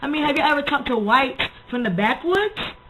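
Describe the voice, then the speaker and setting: Noticeable background noise runs under a woman talking at a very fast pace. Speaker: video blogger. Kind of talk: casual vlog monologue.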